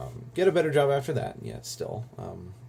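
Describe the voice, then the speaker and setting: Speaking at a fairly quick pace, a man with a dark, mellow tone and vocal fry uses lively intonation. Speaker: vlogger. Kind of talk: casual vlog monologue. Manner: fast.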